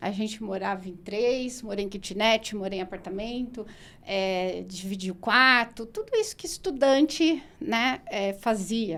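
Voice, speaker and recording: A woman's fairly high voice at a fairly slow pace, with ordinary pitch variation and hardly any pauses. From São Paulo state interior (Araraquara), Brazil. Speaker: nutritionist and postgraduate coordinator. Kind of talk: podcast interview. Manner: conversational, many fillers.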